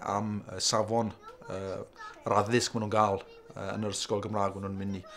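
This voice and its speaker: The man's voice comes with noticeable noise behind it. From Wales, Carmarthenshire. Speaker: parent. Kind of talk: interview.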